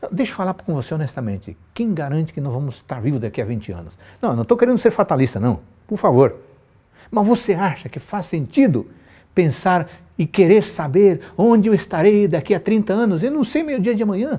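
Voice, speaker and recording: A man with a high pitch and a dark, mellow tone, fairly quick, with very wide pitch swings, on a very clean recording with a silent background. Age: 50s. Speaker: pastor. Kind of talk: sermon. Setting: live stream.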